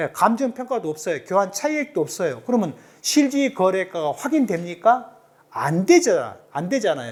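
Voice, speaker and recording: With a slight Jeolla accent, a man speaks at a moderate pace in a high pitch with very wide pitch swings. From South Jeolla, Korea (Suncheon). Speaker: tax accountant, lecturer. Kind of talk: lecture.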